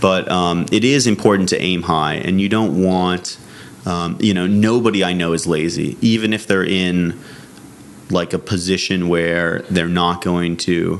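Noticeable background noise surrounds a man with an American accent. His very deep, low voice moves at a fairly slow pace with fairly even intonation. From Massachusetts. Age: 20s. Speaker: film producer and director. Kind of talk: interview.

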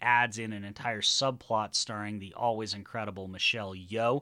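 The tone is bright, sharp and enthusiastic. The pace is fairly quick. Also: man, very clean recording, silent background. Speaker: podcast host. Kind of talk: casual chat.

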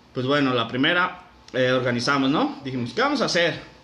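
Noticeable background noise and audible room echo around a man's moderate-paced speech. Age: 20s. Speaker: podcast host. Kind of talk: casual storytelling.

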